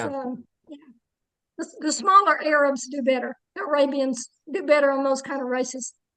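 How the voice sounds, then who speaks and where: A woman's high-pitched, raised and projected voice with a bright, sharp tone, fairly even intonation and long, frequent pauses. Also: moderate pace, big swings in loudness. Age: 70s. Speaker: jiu-jitsu competitor. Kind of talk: interview answer.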